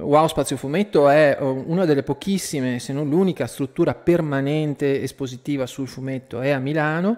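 A man keeps a moderate pace, barely pausing at all. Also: ordinary pitch variation. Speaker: radio host. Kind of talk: radio show intro and interview question. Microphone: studio mic.

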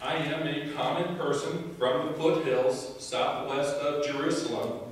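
Delivered at a fairly slow pace, the speech carries strong room echo and light background noise. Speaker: prophet character in a church skit. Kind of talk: staged courtroom drama performed in church. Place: church.

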